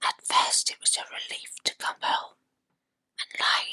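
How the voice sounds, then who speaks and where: Whispering at a fairly slow pace, a woman is heard in a dry, close sound with no echo. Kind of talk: ASMR true ghost story narration. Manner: whispered.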